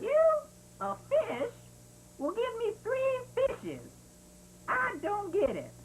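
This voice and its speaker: A woman uses a cartoonish character voice at an extremely high pitch, talking fairly slowly with long, frequent pauses over clear background noise. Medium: puppet show. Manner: cheeky, comic.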